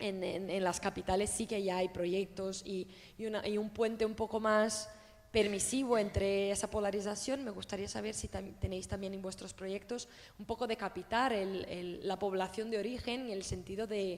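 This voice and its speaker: A woman in a Portuguese accent, medium-pitched and monotone, at a moderate pace. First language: Portuguese (speaking Spanish). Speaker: audience member asking a question. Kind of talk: question at a public talk.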